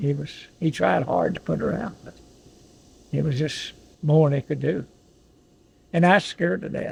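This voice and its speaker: This man speaks at a moderate pace with an Appalachian accent, his fairly high voice carrying a dark, mellow tone and some vocal fry. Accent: Southern American (Appalachian). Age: 80s+. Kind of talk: storytelling, family history recollection. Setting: in a car, outdoors.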